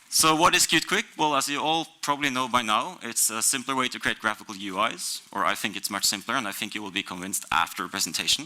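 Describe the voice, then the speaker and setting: Over noticeable background noise, a man with a Norwegian accent talks at a fairly quick pace in a medium pitch with lively intonation. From Norway. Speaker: software developer. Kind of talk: conference talk.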